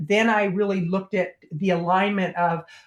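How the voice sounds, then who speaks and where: This woman has a plain, everyday voice pitched at a medium level. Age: 60s. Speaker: plant-based educator and marketing consultant. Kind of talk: interview.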